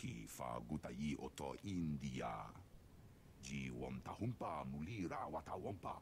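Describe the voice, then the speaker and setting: Clear background noise sits behind a man doing a put-on character voice at a very deep, low pitch. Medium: video game. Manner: speaks alien gibberish language.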